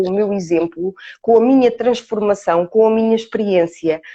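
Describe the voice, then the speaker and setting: With dry, close sound and no echo, a woman speaks at a moderate pace in a fairly high pitch, with a dark, mellow tone and ordinary pitch variation. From Portugal, Ourém. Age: 40s. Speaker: coach. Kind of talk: interview. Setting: live stream. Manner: hesitant fillers.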